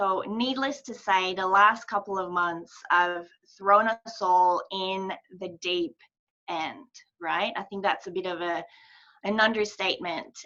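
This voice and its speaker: A woman talks at a fairly slow pace with a medium pitch. Her tone is bright and sharp. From Quebec, Montreal. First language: French. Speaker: mental health charity ambassador. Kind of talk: presentation.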